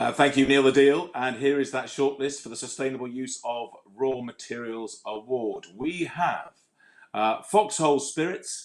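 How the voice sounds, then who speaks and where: With an unremarkable speaking voice, a man talks at a fairly high pitch that varies in an ordinary way. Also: moderate pace. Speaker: awards show host. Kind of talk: awards ceremony hosting. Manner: jokey, lively.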